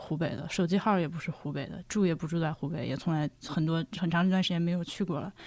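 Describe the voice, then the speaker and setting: A woman speaks fairly quickly in a fairly low pitch, with an unremarkable speaking voice. The recording is very clean with a silent background. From Hubei (Laohekou). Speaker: podcaster, guest. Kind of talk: casual chat. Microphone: poor audio quality.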